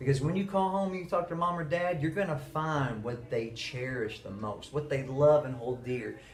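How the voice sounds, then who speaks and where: Noticeable background noise sits under a man with a fairly high pitch and lively intonation who speaks with hardly any pauses. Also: moderate pace. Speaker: middle school teacher. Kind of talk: monologue to camera.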